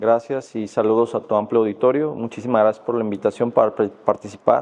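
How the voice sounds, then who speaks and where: In a western Mexican accent, a man of medium pitch speaks at a fairly quick pace with fairly even intonation. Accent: Mexican Spanish (western, Guadalajara). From Mexico, Jalisco. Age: 40s. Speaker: judge and law lecturer. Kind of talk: podcast interview. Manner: hesitant, many fillers.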